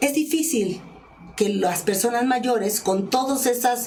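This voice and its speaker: Through noticeable background noise and audible room echo, a woman speaks very slowly with lively intonation at a fairly high pitch. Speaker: journalist and communication expert. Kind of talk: interview.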